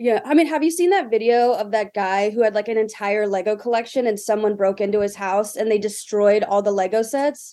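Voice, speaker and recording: A woman with an American accent talks at a fairly quick pace, with hardly any pauses. Her fairly high, dark, mellow voice has ordinary pitch variation and very even loudness. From US South, Greenville, South Carolina. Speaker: comedian and internet personality. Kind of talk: casual chat.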